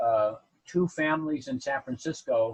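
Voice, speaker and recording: With an American accent, a man speaks in a somewhat breathy, medium-pitched voice with ordinary pitch variation and a dry, close sound with no echo. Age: 80s+. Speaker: builder and publisher. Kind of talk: interview. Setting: podcast. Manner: halting.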